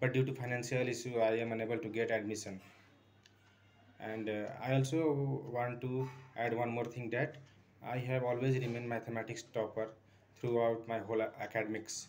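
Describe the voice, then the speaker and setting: With an Indian accent, a man speaks at a medium pitch in a monotone, flat intonation, taking long, frequent pauses over light background noise. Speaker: maths tutor. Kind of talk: self-introduction for a job interview. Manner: hesitant, many fillers. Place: home room. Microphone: phone near.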